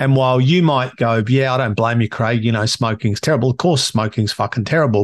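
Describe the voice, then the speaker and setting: A man's medium-pitched voice with an Australian accent, at a fairly quick pace with hardly any pauses, ordinary pitch variation and very even loudness, over a quiet background. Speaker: podcast host and coach. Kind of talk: solo monologue.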